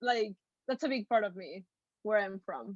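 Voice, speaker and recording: Recorded dry and close with no echo, a woman speaks with a Mexican accent. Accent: Mexican Spanish accent, noticeable. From Mexico City, Mexico. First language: Spanish. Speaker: actress. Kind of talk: interview.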